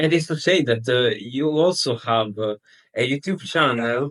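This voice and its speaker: A man's lively intonation in a non-native accent, at a fairly slow pace. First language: not English. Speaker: podcast co-host, remote worker. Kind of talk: casual chat. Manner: halting.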